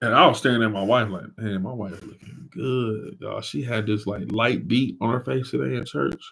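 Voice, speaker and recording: An animated man speaks at a medium pitch and a moderate pace with lively intonation. Vocal fry runs through his voice. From Flint, Michigan. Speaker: live stream co-host, church leader. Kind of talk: casual live stream chat. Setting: live stream.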